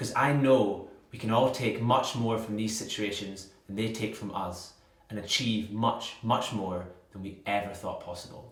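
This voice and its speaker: With a Scottish accent, a man speaks at a moderate pace in a fairly low pitch with fairly even intonation and big swings in loudness, over noticeable background noise. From Scotland. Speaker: inspirational speaker. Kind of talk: motivational speaker showreel.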